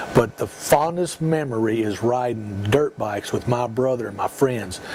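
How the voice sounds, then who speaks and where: A man's medium-pitched voice, with ordinary pitch variation and a moderate pace, comes through noticeable background noise. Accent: Texan. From Texas, Dallas-Fort Worth area. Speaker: school security director, former police chief. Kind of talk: interview, personal reminiscence.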